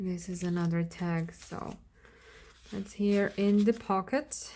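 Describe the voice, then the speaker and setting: A woman's medium-pitched, dark and mellow voice at a very slow pace with fairly even intonation. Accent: Slovak. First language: Slovak. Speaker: crafter. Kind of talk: craft flip-through video. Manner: casual, hesitant with fillers.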